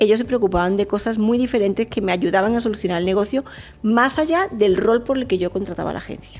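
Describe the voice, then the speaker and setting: Talking very fast in an animated tone, a woman speaks at a fairly high pitch with ordinary pitch variation. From Spain (Andalusia, Fuengirola). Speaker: marketing expert. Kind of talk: interview conversation.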